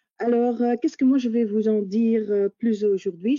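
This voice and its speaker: A woman speaks in a Dutch accent with a fairly high pitch. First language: Dutch (speaking French). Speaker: HR manager. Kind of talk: presentation. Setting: video call webinar.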